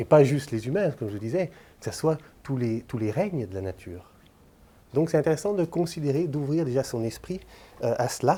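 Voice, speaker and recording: A man's somewhat breathy, dark, mellow voice at a fairly high pitch, with lively intonation, a fairly quick pace and long, frequent pauses. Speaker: lecturer. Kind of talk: lecture. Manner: hesitant, many filler sounds.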